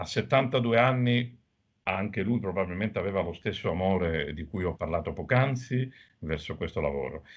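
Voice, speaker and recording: With a normal speaking voice, a man talks at a moderate pace, his fairly low pitch carried by lively intonation. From Sicily, Agrigento. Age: middle-aged. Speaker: doctor. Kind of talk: TV interview.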